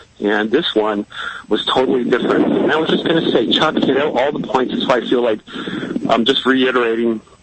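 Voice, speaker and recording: Speaking with an American accent at a moderate pace, a man with a medium pitch is heard against noticeable background noise. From Chicago. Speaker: caller. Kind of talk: call-in radio talk. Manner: halting.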